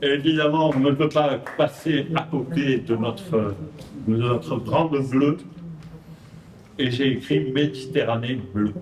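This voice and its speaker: With audible room echo and noticeable background noise, a man at medium pitch talks at a very slow pace with long, frequent pauses, keeping his loudness very even and his pitch variation ordinary. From Provence, southern France. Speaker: poet. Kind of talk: poetry reading. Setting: stage with audience.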